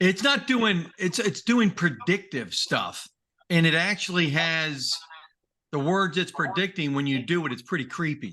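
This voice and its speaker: A man speaks with a bright, sharp tone at a high pitch and lively intonation. His pace is fairly slow, and the background is quiet. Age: 60s. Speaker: podcast co-host. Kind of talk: casual chat.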